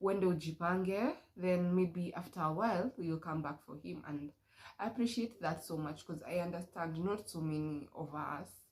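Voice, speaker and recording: A woman speaks at a fairly slow pace with a Kenyan accent, her fairly low voice somewhat breathy and showing ordinary pitch variation. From Kenya, Murang'a County. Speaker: vlogger. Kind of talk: casual chat. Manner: casual, code-switching with Swahili.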